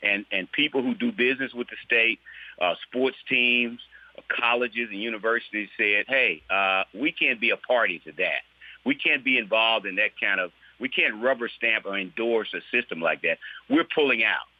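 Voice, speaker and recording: A man with an American accent speaks at a medium pitch and a moderate pace, with ordinary pitch variation. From US South, Mississippi. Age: 60s. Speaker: state legislator. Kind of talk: interview. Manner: halting, with many repeated words.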